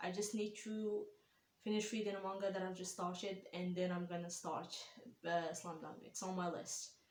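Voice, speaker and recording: Audible room echo surrounds a speaker with a non-native accent who talks at a moderate pace in a monotone, flat intonation. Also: woman, medium pitch for a woman. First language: not English. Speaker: anime reaction YouTuber. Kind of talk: casual vlog reaction. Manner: hesitant, many fillers.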